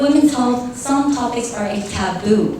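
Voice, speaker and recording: A woman with an American accent speaks at a moderate pace with ordinary pitch variation. Noticeable background noise runs under her voice. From half American, half Filipino. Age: young. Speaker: beauty pageant candidate. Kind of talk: interview answer.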